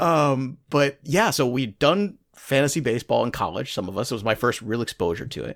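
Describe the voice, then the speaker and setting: A man with an American accent and vocal fry, medium in pitch, with lively intonation and a fairly quick pace, on a very clean recording with a silent background. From Brooklyn, New York. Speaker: fantasy sports analyst and author. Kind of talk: casual chat.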